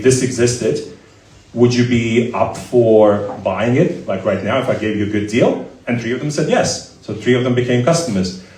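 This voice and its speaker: Speaking at a fairly quick pace, a man with a medium pitch and fairly even intonation is heard over noticeable background noise and audible room echo. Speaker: startup founder and CEO. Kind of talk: live Q&A interview. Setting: stage with audience. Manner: loud.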